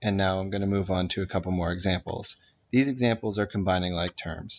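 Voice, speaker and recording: The speaker is a man with an ordinary speaking voice and a fairly low pitch. He talks at a fairly quick pace with fairly even intonation. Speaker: math teacher. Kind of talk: tutorial.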